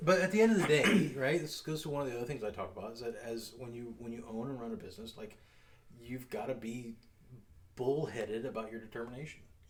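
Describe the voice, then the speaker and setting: A man with a medium pitch talks at a very fast pace with ordinary pitch variation. Big swings in loudness and audible room echo mark the recording. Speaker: security company owner and show host. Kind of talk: casual chat over drinks.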